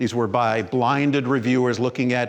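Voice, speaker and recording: Using an unremarkable speaking voice, a man of medium pitch speaks at a moderate pace with fairly even intonation. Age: 60s. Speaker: physician giving a keynote talk. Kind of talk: conference presentation. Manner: conversational, with many fillers and restarts.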